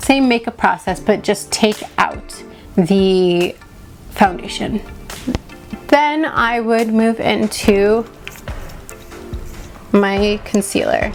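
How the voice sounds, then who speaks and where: Music plays behind a woman with a fairly high pitch and ordinary pitch variation. She speaks very slowly, with long, frequent pauses. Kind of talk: casual makeup tutorial to camera.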